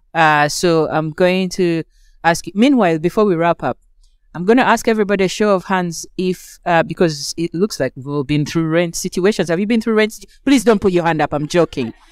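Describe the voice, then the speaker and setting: A woman speaking at a fairly quick pace in a fairly low pitch, with ordinary pitch variation, a dry, close sound with no echo, and a very clean recording with a silent background. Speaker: event moderator and anti-racism scholar. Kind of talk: moderated panel discussion. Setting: live event with audience. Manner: soft-spoken.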